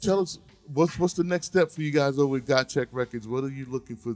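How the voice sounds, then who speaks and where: With music in the background, a man speaks at a fairly quick pace in a medium pitch. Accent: American. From New York (Queens). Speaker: radio host. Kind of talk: radio interview. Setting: radio studio.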